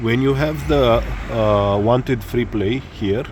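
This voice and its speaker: In a room with audible echo, a man speaks very slowly at a medium pitch with ordinary pitch variation. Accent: Romanian. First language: Romanian. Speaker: motorcycle hobbyist. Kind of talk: tutorial. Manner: halting, many fillers.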